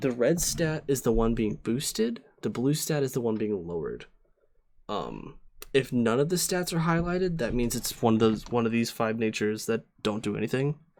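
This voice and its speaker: At a moderate pace, a man uses a normal speaking voice of medium pitch with lively intonation. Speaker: streamer teaching competitive Pokemon. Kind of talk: live-streamed tutorial. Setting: live stream with chat. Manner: casual, many fillers (um, uh).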